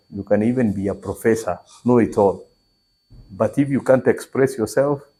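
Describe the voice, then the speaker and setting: Speaking with a Kenyan accent, a man with a medium pitch and a dark, mellow tone talks at a moderate pace with ordinary pitch variation. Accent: Kenyan Meru. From Kenya, Meru region. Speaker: entrepreneur. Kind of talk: interview.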